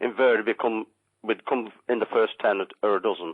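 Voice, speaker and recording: With a Lancashire accent, a man speaks at a moderate pace in a medium pitch. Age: 60s. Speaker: caller, ex-miner. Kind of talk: radio phone-in. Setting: phone call. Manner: halting.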